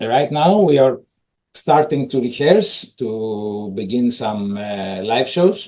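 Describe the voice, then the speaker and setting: A man's medium-pitched, dark, mellow voice with a Greek accent, lively intonation and a very slow pace. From Greece. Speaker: metal drummer. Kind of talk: casual interview.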